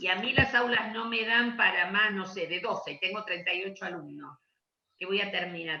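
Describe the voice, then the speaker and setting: Here is a woman with an ordinary speaking voice. Her pitch is medium, her pace moderate, and her pitch variation ordinary. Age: 60s. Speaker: education law speaker. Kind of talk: Q&A session.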